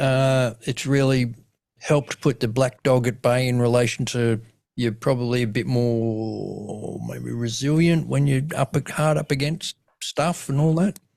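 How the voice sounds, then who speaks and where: Speaking at a moderate speed, a man talks in an Australian accent. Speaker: comedian and suicidologist, podcast host. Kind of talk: podcast interview host. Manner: casual.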